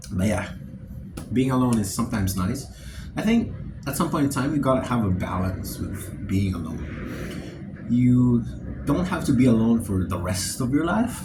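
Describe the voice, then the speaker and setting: Amid noticeable background noise and audible room echo, a man with a medium-pitched voice talks at a moderate pace with lively intonation. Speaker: vlogger. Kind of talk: casual monologue. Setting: alone in dorm room. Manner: halting.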